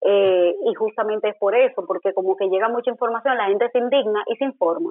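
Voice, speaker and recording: At a fairly brisk clip, a plain, everyday voice talks with ordinary pitch variation. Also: woman. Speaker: political scientist and journalist. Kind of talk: interview.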